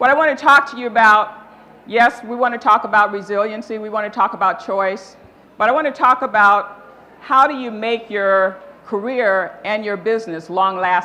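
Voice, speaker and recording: A woman with a plain, everyday voice, fairly high in pitch, at a moderate pace. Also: ordinary pitch variation. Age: 60s. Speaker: motivational speaker, nonprofit founder. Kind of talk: keynote talk.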